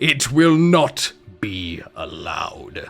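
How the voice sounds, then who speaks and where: Faint music sits in the background. Over it, a man does a put-on character voice. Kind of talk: archaic, formal. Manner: menacing.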